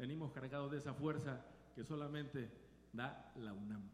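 A man speaks in an animated tone with ordinary pitch variation. Audible room echo surrounds his voice. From Mexico. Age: old. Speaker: salsa band singer. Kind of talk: live concert stage banter. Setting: stage with audience.

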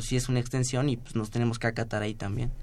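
Speaking at a fairly quick pace, the man has a medium-pitched voice. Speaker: civil engineering student. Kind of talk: radio interview.

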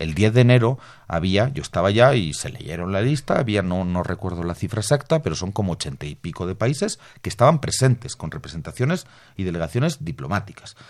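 Recorded very cleanly against a silent background, a man talks at a fairly quick pace in a fairly low pitch with very wide pitch swings. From Bolivia. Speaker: political analyst. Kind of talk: radio interview.

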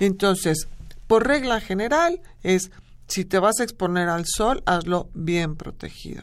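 A woman talks at a fairly slow pace in an ordinary speaking voice, her pitch medium with ordinary variation. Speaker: dermatologist. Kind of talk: radio interview.

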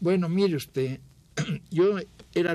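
A somewhat breathy voice with a dark, mellow tone, lively intonation, and a fairly slow pace. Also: man. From Mexico City. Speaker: photographer. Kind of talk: interview reminiscence.

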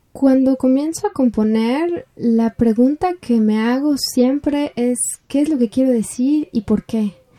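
At a very slow pace, a woman speaks at a high pitch with ordinary pitch variation and very even loudness, the sound dry and close with no echo. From Mexico City. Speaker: composer and singer. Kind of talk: interview. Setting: remote call. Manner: hesitant, many fillers.

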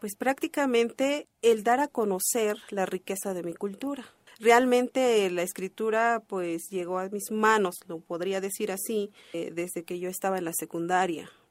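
This speaker talks fairly slowly in a Chiapas accent, with hardly any pauses. The pitch varies in an ordinary way, and the sound is dry and close with no echo. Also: woman, medium pitch for a woman. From Chalam del Carmen, Ocosingo, Chiapas, Mexico. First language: Tseltal (speaking Spanish). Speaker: poet. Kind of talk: pre-recorded interview segment.

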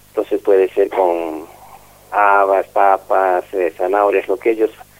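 Fairly low in pitch, a man with an unremarkable speaking voice talks at a fairly slow pace. The sound is dry and close, with no echo. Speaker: school director. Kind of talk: interview.

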